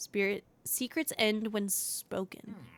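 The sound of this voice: In a put-on character voice, a woman speaks hoarsely at a fairly high pitch and a fairly slow pace.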